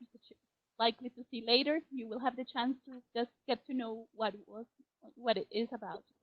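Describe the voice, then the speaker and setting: Fairly quick speech with a Spanish accent. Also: woman, big swings in loudness. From Colombia. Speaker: teacher trainer. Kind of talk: webinar presentation. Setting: online webinar.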